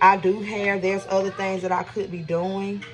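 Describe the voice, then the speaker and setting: Medium pitch from a woman, with noticeable background noise. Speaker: vlogger. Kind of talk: casual vlog talk while cooking. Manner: fast.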